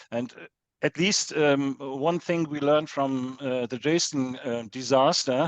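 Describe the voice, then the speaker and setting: In a German accent, a man speaks at a fairly high pitch and fairly slow pace, with fairly even intonation and big swings in loudness. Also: dry, close sound with no echo. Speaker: professor of history of technology. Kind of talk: conference Q&A. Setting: lecture hall with audience. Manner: halting.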